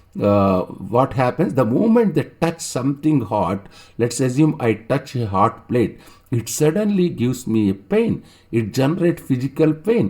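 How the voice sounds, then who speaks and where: With a South Indian accent, a man of medium pitch speaks at a moderate pace in a dark, mellow tone, his pitch swinging very widely. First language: Telugu. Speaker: online teacher. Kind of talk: lecture. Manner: halting, with many fillers and repetitions.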